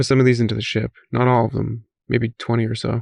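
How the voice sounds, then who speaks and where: A man speaks in a put-on character voice at medium pitch, raspy and monotone with flat intonation. The pace is fairly quick, and the sound is dry and close with no echo. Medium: read story. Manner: calm, practical.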